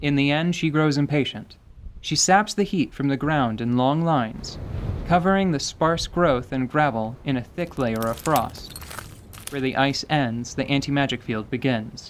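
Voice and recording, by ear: At a fairly slow pace, a man speaks at a medium pitch with ordinary pitch variation.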